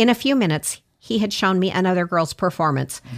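In an unremarkable speaking voice, a woman talks at a fairly low pitch and moderate pace with lively intonation. The recording is very clean, with a silent background. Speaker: magazine publisher and radio host. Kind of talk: casual interview.

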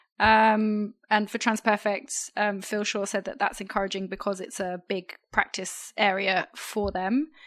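Against a quiet background, a woman speaks in a monotone, flat intonation with hardly any pauses. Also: medium pitch for a woman, fairly slow pace. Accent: British. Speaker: podcast co-host. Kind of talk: news discussion podcast.

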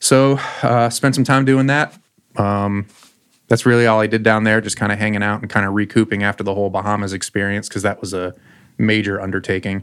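Speaking in an unremarkable speaking voice with an American accent, a man talks at a fairly quick pace with a fairly low pitch and fairly even intonation. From South Florida. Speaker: chef. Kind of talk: casual chat. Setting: studio.

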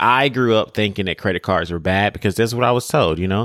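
An animated tone comes through on a very clean recording with a silent background and a dry, close sound with no echo. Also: man. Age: 30s. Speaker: chef and podcast host. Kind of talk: solo podcast monologue with cooking tutorial. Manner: talkative.

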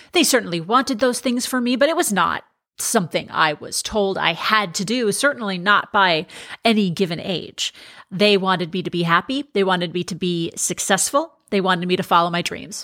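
A woman speaks at a medium pitch with a bright, sharp tone, an animated tone and lively intonation. The recording is very clean, with a silent background. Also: moderate pace. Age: 40s. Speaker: podcast host and life coach, former TV sports anchor. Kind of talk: monologue, personal storytelling.

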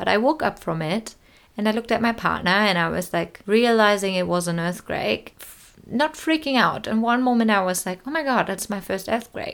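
A woman with a German accent speaks at a moderate pace with lively intonation. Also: medium pitch for a woman. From Germany, small town and village. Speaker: podcast host. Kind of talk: solo podcast monologue. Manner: casual, with laughter.

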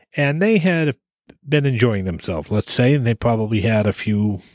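A man's plain, everyday voice with an American accent, at a medium pitch and a moderate pace, with lively intonation and a dry, close sound with no echo. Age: 50s. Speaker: podcast co-host, driver. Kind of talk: casual chat.

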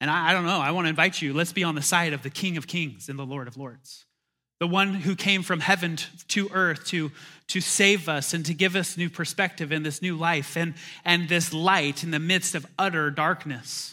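Pitched high for a man, his bright, sharp voice moves at a moderate pace with fairly even intonation on a very clean recording with a silent background. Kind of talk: sermon, preacher in full flow at a candlelight Christmas service. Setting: church, in front of a live congregation. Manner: call-and-response, urging the crowd to repeat and say amen.

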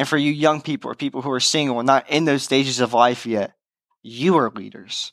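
A man talks at a moderate pace in a fairly high voice with fairly even intonation. The sound is dry and close, with no echo. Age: young. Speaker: youth pastor. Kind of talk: sermon. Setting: online church service. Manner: casual.

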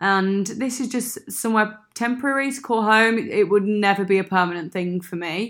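On a very clean recording with a silent background, a woman with a Brummie accent talks at a moderate pace and medium pitch, varying it in an ordinary way. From Birmingham, England. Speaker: expat friend. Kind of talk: casual chat. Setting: makeshift home studio.

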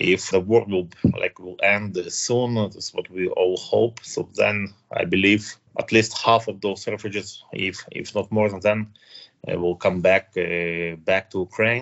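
A man speaks with a Russian accent. His voice is fairly low and his pace fairly slow. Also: fairly even intonation. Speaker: IT project manager and community volunteer. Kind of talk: interview. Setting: remote recording in Barcelona. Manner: halting with many fillers.

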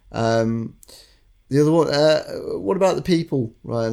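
A man with a northern English accent has a dark, mellow tone and ordinary pitch variation. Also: very clean recording, silent background. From northern England. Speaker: recruitment consultant podcast co-host. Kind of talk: casual chat.

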